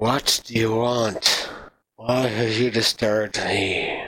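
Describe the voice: Doing a put-on character voice, a man sounds raspy at a medium pitch, speaking at a very slow pace with monotone, flat intonation.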